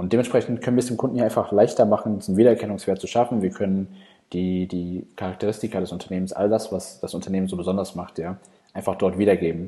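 Speaking at a very fast pace, a man uses a fairly low, dark, mellow voice with fairly even intonation. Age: 20s. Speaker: agency founder, conference speaker. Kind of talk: conference talk. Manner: hesitant, many fillers.

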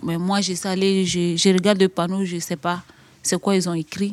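This woman speaks with a medium pitch. Her intonation remains fairly even. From Côte d'Ivoire. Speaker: young migrant. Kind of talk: testimony. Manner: halting.

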